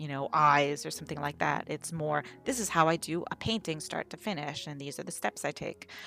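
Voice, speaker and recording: A woman's very deep, low voice, bright and sharp in tone, with vocal fry, a fairly quick pace and hardly any pauses. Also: ordinary pitch variation. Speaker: digital artist. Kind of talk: unscripted voiceover Q&A over a speedpaint. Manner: rambling, hesitant.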